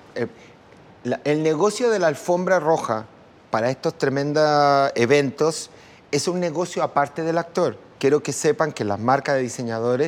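With ordinary pitch variation and a moderate pace, the speech comes in a plain, everyday voice. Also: man. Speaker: makeup artist and designer. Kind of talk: casual chat.

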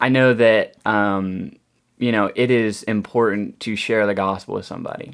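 On a very clean recording with a silent background, a man with a normal speaking voice talks with fairly low pitch and fairly even intonation. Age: young. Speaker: customer service worker and bible student. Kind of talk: casual chat.

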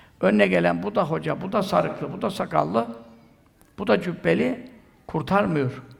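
This man's voice carries vocal fry and very wide pitch swings, with audible room echo around it. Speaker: Sufi preacher. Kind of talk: sermon.

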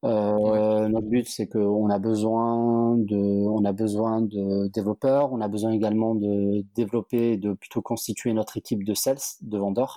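A man talks at a fairly slow pace with hardly any pauses and a monotone, flat intonation. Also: fairly low pitch for a man, very even loudness. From southern France, Montpellier. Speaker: startup cofounder and CEO. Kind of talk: interview conversation.

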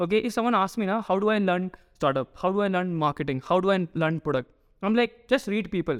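A man's high voice at a very fast pace, with very even loudness and ordinary pitch variation. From Northeast India. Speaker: startup founder. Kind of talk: interview conversation. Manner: hesitant, frequent fillers.

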